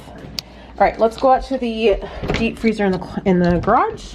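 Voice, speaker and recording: Over noticeable background noise, a woman speaks at a fairly slow pace. Her pitch is medium, with ordinary variation. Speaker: homesteading vlogger. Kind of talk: casual haul vlog.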